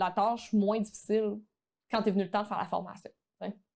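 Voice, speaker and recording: A woman at a fairly quick pace. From Quebec. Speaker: online photography teacher. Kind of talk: podcast interview.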